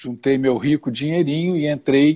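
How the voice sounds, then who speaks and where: Here a man speaks at a moderate pace. His voice is dark and mellow, with fairly high pitch. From Rio de Janeiro, Brazil. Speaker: plane crash survivor and speaker. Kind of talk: live stream interview.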